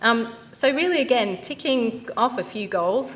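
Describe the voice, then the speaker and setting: With a British accent, a woman speaks over noticeable background noise. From UK. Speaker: company founder and CEO, career speaker. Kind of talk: career talk at event.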